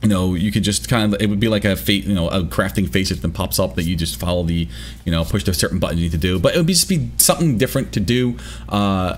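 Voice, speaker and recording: A man talks at a very fast pace with vocal fry. His very deep, low voice has very wide pitch swings. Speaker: gaming youtuber. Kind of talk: video commentary. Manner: hesitant, many fillers.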